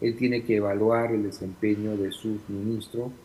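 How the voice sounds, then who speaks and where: A man speaks at a moderate pace and medium pitch. His voice is somewhat breathy. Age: 60s. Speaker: former congressional official, political analyst. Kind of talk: interview.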